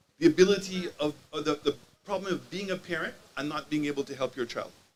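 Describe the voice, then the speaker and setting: Talking at a very fast pace, a man has a fairly high pitch. His pitch variation is ordinary. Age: 60s. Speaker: community speaker at town hall. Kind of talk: public speech. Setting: town hall meeting with audience. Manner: impassioned.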